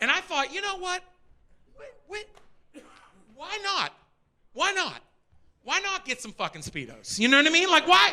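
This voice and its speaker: A man with an American accent speaks at a moderate pace in a raised, projected voice with an extremely high pitch and a bright, sharp tone. His intonation is lively, with big swings in loudness and long, frequent pauses. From Pittsburgh, Pennsylvania. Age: 40s. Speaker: stand-up comedian. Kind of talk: live stand-up comedy set. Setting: comedy club stage, live audience. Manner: energetic.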